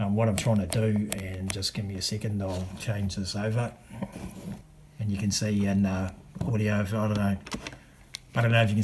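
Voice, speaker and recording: Noticeable background noise sits behind a man with a fairly low pitch. He talks at a fairly quick pace with monotone, flat intonation. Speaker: video creator testing camera gear. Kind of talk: tutorial. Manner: hesitant, many fillers.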